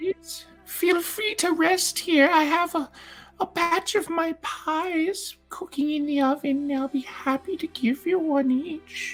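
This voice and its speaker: A soft-spoken, put-on character voice at an extremely high pitch, delivered at a fairly slow pace. Faint music plays in the background. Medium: actual play. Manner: doting, sweetly overfriendly.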